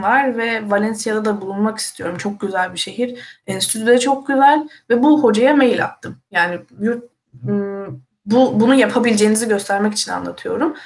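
Fairly high, somewhat breathy female speech at a moderate pace, its pitch varying in an ordinary way. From Turkey. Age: 20s. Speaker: university student. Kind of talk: casual live-stream chat.

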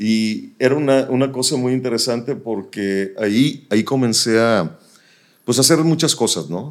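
At a fairly slow pace, a man with an unremarkable speaking voice talks at a medium pitch. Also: ordinary pitch variation. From northern Mexico, Nuevo Laredo (border). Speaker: radio announcer. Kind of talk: casual interview.

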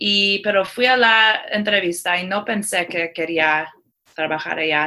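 A woman's bright, sharp voice at medium pitch, with lively intonation and a fairly slow pace. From Iran and Seattle. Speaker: tech company community manager. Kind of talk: interview. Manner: halting.

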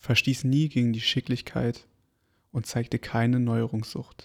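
A man's calm, flat monotone at medium pitch and fairly slow pace, on a very clean recording with a silent background. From Berlin, Germany. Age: 20s. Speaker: podcast host. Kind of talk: reading aloud. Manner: calm, slow.

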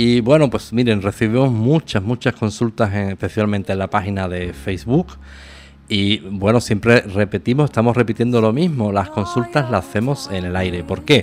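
With lively intonation and a fairly low pitch, a man talks at a moderate pace in a normal speaking voice. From Spain. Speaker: radio host. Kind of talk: casual chat.

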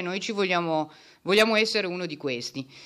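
In a very clean recording with a silent background, a woman speaks in a bright, sharp tone with ordinary pitch variation. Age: 40s. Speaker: lawyer and party activist. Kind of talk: project presentation.

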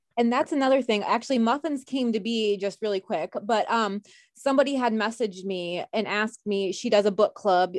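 Over a quiet background, a woman uses a normal speaking voice at a fairly high pitch, with ordinary pitch variation and a fairly quick pace. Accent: American. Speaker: bakery owner. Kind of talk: casual chat.

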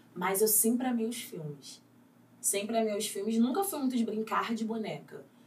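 Audible room echo and noticeable background noise fill the recording. A woman speaks at a fairly high pitch and moderate pace. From Rio de Janeiro, Vidigal favela. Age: 20s. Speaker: actress. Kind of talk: casual chat.

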